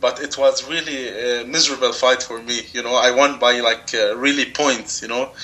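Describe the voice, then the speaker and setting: The speaker has an Arabic accent and ordinary pitch variation, with noticeable background noise. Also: man. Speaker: jiu jitsu competitor. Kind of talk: interview. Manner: halting.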